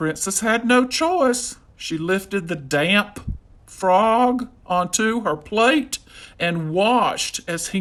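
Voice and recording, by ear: The clip has a speaker reading aloud in a natural voice.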